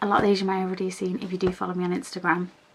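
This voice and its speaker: Very fast speech in a British accent. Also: woman. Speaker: lifestyle vlogger. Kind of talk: casual vlog. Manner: chatty, with many fillers.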